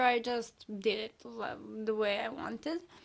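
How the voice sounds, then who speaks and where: This woman has a Serbian accent. Her voice sits fairly high with ordinary pitch variation. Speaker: artist. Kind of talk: casual video talk, sketchbook show-and-tell. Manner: halting, many fillers.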